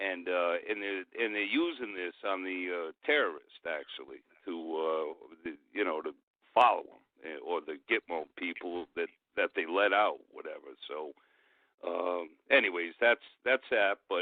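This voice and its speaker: This man has a New England accent. He talks at a fairly slow pace. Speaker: caller. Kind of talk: call-in radio talk. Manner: halting, many fillers.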